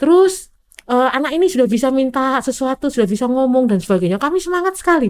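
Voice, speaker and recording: Talking at a very fast pace, a woman uses a high pitch with very wide swings. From Indonesia. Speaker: physician specializing in snakebite treatment; guest. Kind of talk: interview storytelling. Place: studio. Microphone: studio mic.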